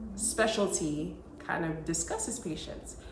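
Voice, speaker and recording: A woman with an American accent speaks at a fairly slow pace with lively intonation. Music plays in the background, and there is audible room echo. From Texas. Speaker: OB/GYN physician. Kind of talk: advice talk to camera.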